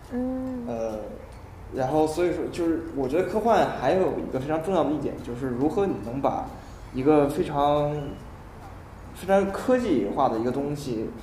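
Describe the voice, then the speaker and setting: A man's fairly high voice at a moderate pace, with very wide pitch swings, long and frequent pauses, noticeable background noise and audible room echo. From northern China. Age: 20s. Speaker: university math student. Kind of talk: casual chat. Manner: halting, many fillers and repetitions.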